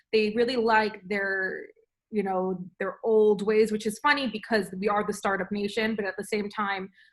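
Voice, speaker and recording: In a New York accent, a woman talks at a fairly high pitch. The recording is very clean, with a silent background. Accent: New York American English. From New York, USA. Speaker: food entrepreneur, frozen yoghurt shop owner. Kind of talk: interview answer.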